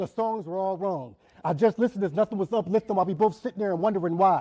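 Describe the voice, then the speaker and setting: The voice is loud, with ordinary pitch variation and a dry, close sound that has no echo. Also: man. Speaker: spoken word poet. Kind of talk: spoken word performance. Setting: church event with audience. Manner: loud, projecting; rhythmic. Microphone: poor sound system.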